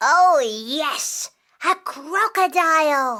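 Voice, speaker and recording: A put-on character voice pitched high comes through in a very clean recording with a silent background. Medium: read story.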